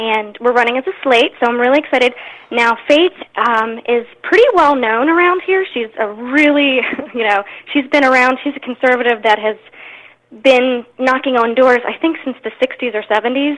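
A woman with an American accent speaks at a moderate pace and a high pitch. Noticeable background noise sits behind her. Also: ordinary pitch variation. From Maryland, Anne Arundel County. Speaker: political candidate, stay-at-home mother. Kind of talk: interview.

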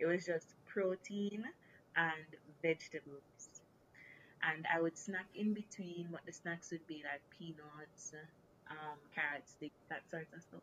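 Speaking at a fairly low pitch, a woman moves at a fairly slow pace with long, frequent pauses. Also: fairly even intonation. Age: 20s. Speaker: recent graduate sharing health story. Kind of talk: casual interview.

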